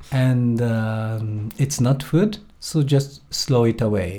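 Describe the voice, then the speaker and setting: A man with a Japanese accent has a dark, mellow tone. His voice is somewhat breathy. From Japan, Tokyo area. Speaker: primatologist. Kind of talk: interview. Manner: halting.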